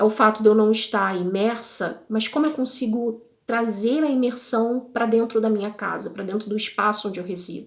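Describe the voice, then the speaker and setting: A woman with a plain, everyday voice speaks at a moderate pace, her pitch fairly high and her intonation fairly even. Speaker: podcast host, language learner. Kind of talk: casual podcast monologue. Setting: video podcast recording. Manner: conversational.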